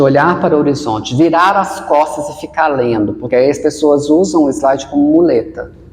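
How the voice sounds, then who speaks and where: Through noticeable background noise, a man with a fairly high pitch and ordinary pitch variation speaks at a moderate pace. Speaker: researcher and actor giving presentation tips. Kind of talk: podcast interview.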